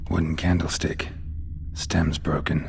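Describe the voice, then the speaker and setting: In a put-on character voice with a very deep, low pitch, a man speaks at a fairly slow pace over clear background noise. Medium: machinima. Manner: terse, flat, low-key.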